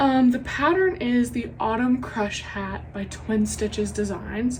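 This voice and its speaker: Audible room echo can be heard. The woman talking has an American accent. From US South. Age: 20s. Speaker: knitting podcaster. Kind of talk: casual chat. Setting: home craft room.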